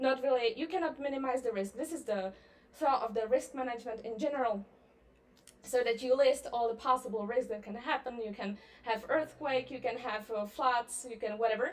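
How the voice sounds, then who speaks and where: Here a woman speaks in a high voice at a fairly quick pace. Her pitch varies in an ordinary way. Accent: Czech. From Czech Republic. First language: Czech. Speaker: libertarian public speaker. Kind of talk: conference presentation. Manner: hesitant, many fillers.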